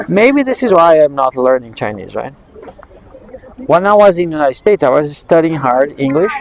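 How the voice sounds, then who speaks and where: Against noticeable background noise, a man with a Brazilian accent talks at a fairly quick pace, his fairly high pitch carried by lively intonation. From southern Brazil, Londrina. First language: Portuguese. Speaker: English teacher. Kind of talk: casual conversation class. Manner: fast.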